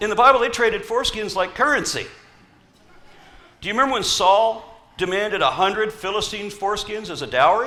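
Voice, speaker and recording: A man's raised, projected voice, high in pitch, in an American accent, at a fairly quick pace with ordinary pitch variation, long, frequent pauses and audible room echo. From US South. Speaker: atheist activist speaker. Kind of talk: conference talk. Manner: animated.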